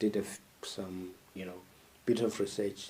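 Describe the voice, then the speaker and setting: A man's dark, mellow voice with fairly even intonation, in a Zimbabwean accent. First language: isiNdebele. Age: 20s. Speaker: podcast host. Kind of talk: monologue commentary. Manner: halting, with frequent fillers.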